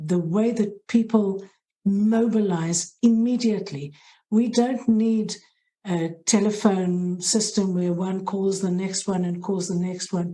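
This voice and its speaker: Speaking at a fairly slow pace in a South African accent, a woman has a dark, mellow, somewhat breathy tone, a medium pitch and ordinary pitch variation. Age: middle-aged. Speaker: head of hospital social work. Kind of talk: interview. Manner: halting.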